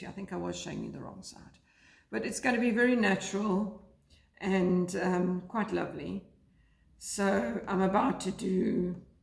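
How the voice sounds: Putting on a character voice, a woman sounds croaky at a medium pitch, with big swings in loudness, ordinary pitch variation and a moderate pace.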